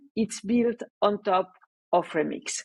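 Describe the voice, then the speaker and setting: Speaking at a fairly slow pace, a woman talks with a French accent. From France. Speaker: developer relations engineer. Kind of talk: conference talk. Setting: remote talk without live audience.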